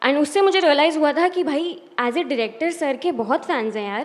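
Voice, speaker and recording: Over noticeable background noise, a woman speaks at an extremely high pitch. Her pace is moderate and her intonation lively. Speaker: poet. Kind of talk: spoken word poetry performance; talk to audience. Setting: stage with audience.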